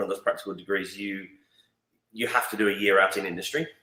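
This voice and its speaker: A man's bright, sharp tone sits at a fairly low pitch. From England. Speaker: marketing agency founder. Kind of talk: interview. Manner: hesitant, many fillers.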